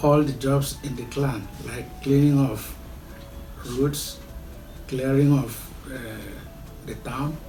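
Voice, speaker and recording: A man's fairly high voice in a flat monotone at a very slow pace, with long, frequent pauses, big swings in loudness, and music in the background. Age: 70s. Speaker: traditional chief, royal family head. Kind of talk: interview answer.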